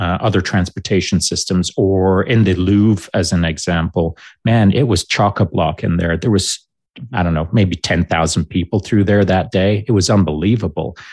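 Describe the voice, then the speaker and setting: A man with a Canadian accent speaks with a very deep, low pitch. His loudness is very even, and the sound is dry and close with no echo. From Canada (Alberta), born in Barnsley, Yorkshire. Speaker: military veteran. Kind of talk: casual interview.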